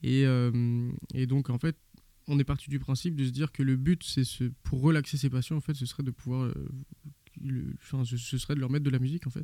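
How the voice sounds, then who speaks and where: With long, frequent pauses, a man speaks at a moderate pace and medium pitch in a dark, mellow tone, monotone and flat, with a dry, close sound and no echo. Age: 20s. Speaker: ICU nurse. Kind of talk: interview. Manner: halting, many repetitions.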